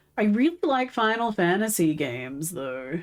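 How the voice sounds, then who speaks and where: Over background music, someone speaks at a fairly slow pace with very wide pitch swings. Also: woman. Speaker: livestreamer. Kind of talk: casual chat.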